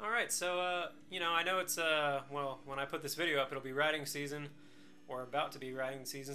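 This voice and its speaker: Music plays in the background as a man talks. His fairly high-pitched voice moves at a very fast pace. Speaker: motorcycle reviewer. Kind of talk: casual talk to camera. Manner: monotone.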